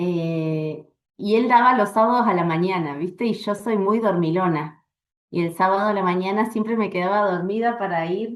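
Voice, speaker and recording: At a moderate pace, a woman speaks at a medium pitch with fairly even intonation. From Argentina, Bariloche (Patagonia). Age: 40s. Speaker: astrologer and astrology teacher. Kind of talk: interview.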